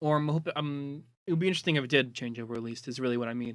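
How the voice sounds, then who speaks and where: A man mumbles in a bright, sharp voice with ordinary pitch variation, on a very clean recording with a silent background. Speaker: online community moderator. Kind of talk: casual data presentation. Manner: mumbling; hesitant, many fillers.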